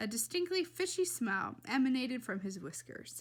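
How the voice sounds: A woman's fairly high, fairly bright voice, fairly slow, with big pitch swings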